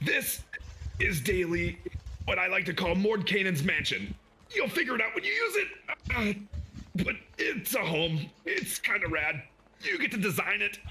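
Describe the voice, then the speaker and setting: Using a put-on character voice, a man speaks in a high pitch with long, frequent pauses. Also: moderate pace. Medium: actual play.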